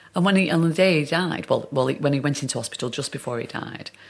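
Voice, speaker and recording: A woman with a strong Northern English accent speaks over noticeable background noise. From Northern England. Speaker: actor. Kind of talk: interview answer.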